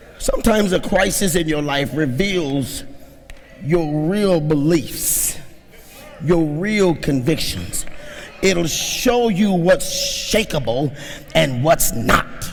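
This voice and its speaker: Through noticeable background noise and audible room echo, a man talks at a very slow pace in a high voice with lively intonation. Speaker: pastor. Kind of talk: sermon. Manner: animated.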